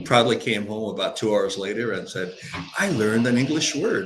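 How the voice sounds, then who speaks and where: A man of medium pitch talks at a moderate pace, with audible room echo and noticeable background noise. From Hungary (Budapest). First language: Hungarian. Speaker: author and business coach. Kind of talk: interview conversation.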